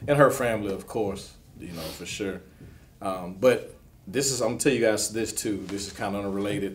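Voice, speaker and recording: A man's fairly low voice with music in the background. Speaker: interview guest. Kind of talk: interview answer. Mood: grieving, sincere, measured. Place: studio.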